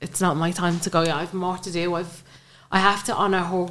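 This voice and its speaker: This woman has an Irish accent and a fairly low pitch. She talks at a fairly quick pace in a flat monotone. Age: 20s. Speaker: bereaved mother. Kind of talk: interview, personal testimony.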